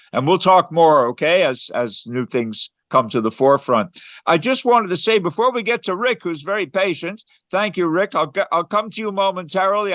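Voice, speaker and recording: A man's high-pitched, lively voice, dry and close with no echo. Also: quiet background. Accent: Canadian. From Quebec, Canada. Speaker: philosophy organization host. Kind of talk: casual chat.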